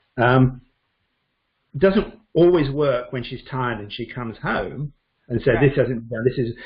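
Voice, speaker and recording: A man with a British accent speaks at a moderate pace in a medium, somewhat breathy voice, with ordinary pitch variation, big swings in loudness and long, frequent pauses. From Britain. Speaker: Chinese medicine doctor. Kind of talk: interview answer.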